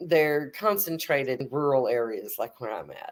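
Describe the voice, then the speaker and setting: A woman with a Texan accent, very deep and low in pitch, animated in tone, at a fairly slow pace. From Texas. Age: 50s. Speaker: atheist guest. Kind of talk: casual chat.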